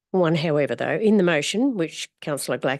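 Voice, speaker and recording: A woman with an Australian accent speaks at a very fast pace with ordinary pitch variation over a quiet background. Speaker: community advocate. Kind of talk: public submission at council meeting. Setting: council chamber. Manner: formal.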